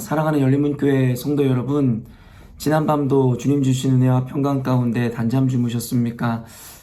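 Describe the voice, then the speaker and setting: Audible room echo surrounds a man's voice. His intonation is fairly even. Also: medium pitch for a man, moderate pace. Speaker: pastor. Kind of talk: sermon. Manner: halting, many fillers.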